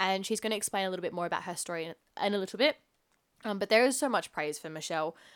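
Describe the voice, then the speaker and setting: A woman at medium pitch, very fast, with lively intonation and an animated tone. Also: very clean recording, silent background. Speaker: podcast host. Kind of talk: casual interview.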